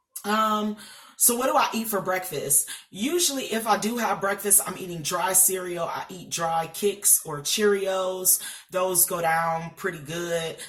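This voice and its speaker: Noticeable background noise sits behind a woman speaking at a fairly slow pace with ordinary pitch variation. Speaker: vlogger sharing weight loss surgery journey. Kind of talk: casual vlog talk to camera. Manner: hesitant fillers, um and uh.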